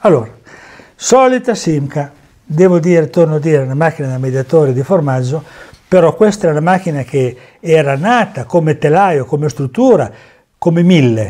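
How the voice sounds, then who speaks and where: Over a quiet background, a man with a fairly high voice and a dark, mellow tone speaks at a moderate pace with lively intonation and long, frequent pauses. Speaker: former amateur racing driver and memorabilia dealer. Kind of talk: storytelling over photos. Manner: animated. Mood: proud, enthusiastic. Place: home room. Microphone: lapel.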